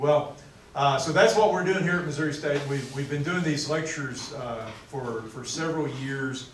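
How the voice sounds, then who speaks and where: A man at a moderate pace with ordinary pitch variation, plus audible room echo and light background noise. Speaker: lecture host introducing the speaker. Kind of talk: introduction speech. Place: classroom. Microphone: camera far.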